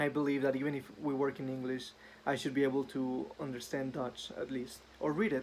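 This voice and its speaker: Speaking fairly quickly with a Spanish accent, a man holds a medium pitch in a monotone, flat intonation. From northern Mexico, Ciudad Juarez. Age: 20s. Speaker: engineer. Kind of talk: self-introduction video. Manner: some hesitations and fillers.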